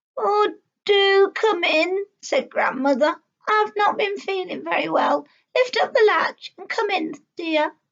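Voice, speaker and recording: A woman uses a cartoonish character voice at an extremely high pitch. Her intonation is lively. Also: fairly slow pace. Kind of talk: children's story reading. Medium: puppet.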